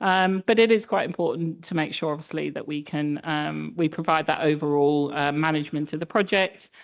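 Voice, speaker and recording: The speaker has a British accent and talks at a fairly quick pace with hardly any pauses. Pitch varies in an ordinary way. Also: woman, very deep, low pitch for a woman. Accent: British accent noticeable. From UK. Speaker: statistician presenting a project. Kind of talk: conference presentation. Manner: hesitant, many fillers.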